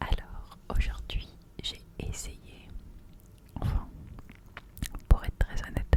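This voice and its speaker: Whispering at a very slow pace over noticeable background noise. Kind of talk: ASMR chat to camera. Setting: studio microphone at home. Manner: whispered.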